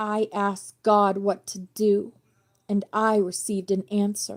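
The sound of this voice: A woman puts on a strained character voice at medium pitch, speaking at a fairly slow pace in a monotone, flat intonation.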